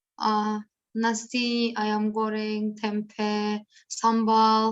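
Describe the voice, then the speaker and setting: A woman speaks with a Turkish accent. Her pitch is fairly high. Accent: Turkish accent in Indonesian. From Turkey. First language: Turkish (speaking Indonesian). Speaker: interviewee, foreign resident. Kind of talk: interview. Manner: halting.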